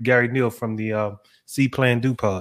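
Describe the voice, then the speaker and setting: A man speaks in a plain, everyday voice. His pitch is medium and varies in an ordinary way. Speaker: podcast co-host. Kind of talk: casual chat.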